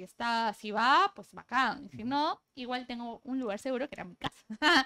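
A woman speaks at a fairly slow pace in a high pitch. Her tone is bright and sharp against a quiet background. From Peru, Piura; Peru. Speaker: labor law specialist; interview guest. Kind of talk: casual interview. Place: studio. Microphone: lapel.

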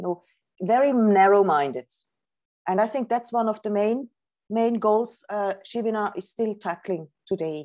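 The woman's tone is dark and mellow, with ordinary pitch variation. She keeps a moderate pace against a quiet background. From Switzerland. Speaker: professor and author; professor. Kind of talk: lecture; Q&A answers. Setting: video call. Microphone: video call.

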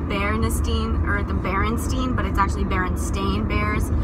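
Loud background noise behind a woman speaking at a moderate pace. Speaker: vlogger. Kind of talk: casual vlog chat. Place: car. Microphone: phone near.

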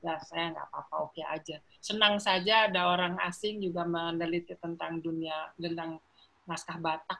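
This woman talks at a fairly quick pace with a fairly low pitch. Her tone is bright and sharp, and her intonation stays monotone and flat. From Jakarta, Indonesia. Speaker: professor of philology. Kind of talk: interview. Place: home room. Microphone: video call.

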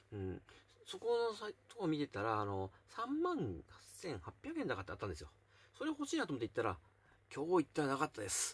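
A man speaking at a very fast pace. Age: 40s. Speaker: YouTuber; vlogger. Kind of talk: casual chat. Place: home room. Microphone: phone near.

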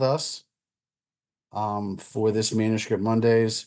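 A man talks at a very slow pace against a quiet background. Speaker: society board member hosting talk. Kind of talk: formal introduction. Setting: video call. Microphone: webcam.

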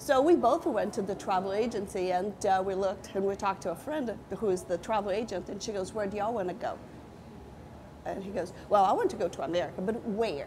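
A woman at a fairly quick pace, with ordinary pitch variation and noticeable background noise. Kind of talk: interview answer. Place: cafe.

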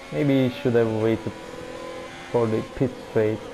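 A man with a non-native accent speaks at a medium pitch with fairly even intonation over noticeable background noise. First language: not English. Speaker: esports race commentator. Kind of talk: live commentary. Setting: recorded video commentary of game. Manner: halting, filler-heavy.

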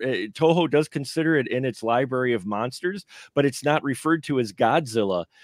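A normal speaking voice with an American accent, at a moderate pace with ordinary pitch variation, dry with no echo over a quiet background. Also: man. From Milwaukee, Wisconsin, US; Wisconsin. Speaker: film podcaster and panelist; film podcaster, panelist. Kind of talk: live round table film review. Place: home room. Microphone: video call.

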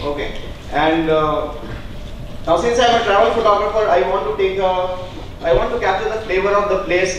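Strong room echo and light background noise surround a man speaking at a high pitch and moderate pace. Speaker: speaker. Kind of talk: talk to an audience. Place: hall. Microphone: handheld.

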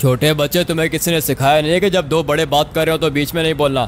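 Putting on a gruff character voice, a man speaks at a very fast pace with fairly high pitch and very even loudness over clear background noise. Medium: machinima. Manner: gruff, rude, bossy.

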